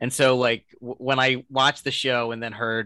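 With an American accent, a man speaks in a bright, sharp tone and fairly even intonation, in a dry, close sound with no echo. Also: very clean recording, silent background. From Delaware County, near Philadelphia. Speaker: podcast interviewer. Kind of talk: interview.

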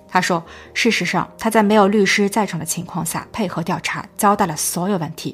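Speaking at a moderate pace with hardly any pauses, a woman has a medium-pitched, somewhat breathy voice, fairly even intonation and big swings in loudness. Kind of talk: scripted narration.

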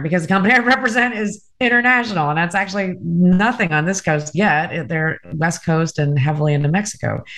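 An ordinary speaking voice from a woman, medium in pitch, with lively intonation and a fairly quick pace over a quiet background. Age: 30s. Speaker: vacation rental marketing executive and podcaster. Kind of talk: casual chat.

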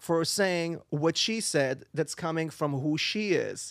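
Over a very clean recording with a silent background, a man with an Israeli accent speaks at a very slow pace with a high pitch and ordinary pitch variation. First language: Hebrew. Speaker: singer and voice actor. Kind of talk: casual interview. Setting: studio. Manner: halting.

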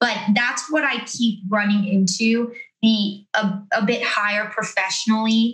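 Her loudness very even, a woman with an American accent and a plain, everyday voice talks at a fairly slow pace, fairly high in pitch, with fairly even intonation. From Florida. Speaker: podcast host and DJ. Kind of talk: casual chat. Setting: video call.

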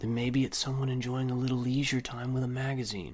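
A man puts on a growling character voice at a medium pitch, speaking very fast with very even loudness over noticeable background noise. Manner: snarling.

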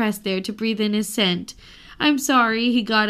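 Someone reads aloud here in a natural voice.

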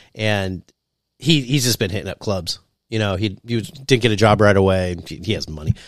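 With an American accent, a man speaks in an unremarkable speaking voice at a fairly low pitch and fairly quick pace, with ordinary pitch variation, a dry, close sound with no echo and a very clean recording with a silent background. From US. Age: 40s. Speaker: aspiring stand-up comedian. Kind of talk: casual chat.

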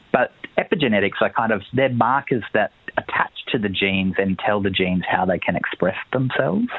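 With an Australian accent, a man speaks at a fairly quick pace in a fairly low voice, his pitch moving in an ordinary way and his loudness very even, over noticeable background noise. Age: 30s. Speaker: journalist and author. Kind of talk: interview.

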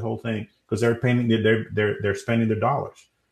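The voice is somewhat breathy, with a Spanish accent. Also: man, quiet background. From Dominican Republic. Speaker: SEO company CEO. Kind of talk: interview. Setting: live stream.

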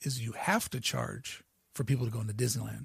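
Recorded very cleanly against a silent background, a man with an American accent speaks in a dry, close sound with no echo. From US Midwest, Ohio River area. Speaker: podcast host and YouTuber. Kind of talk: solo podcast monologue. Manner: animated.

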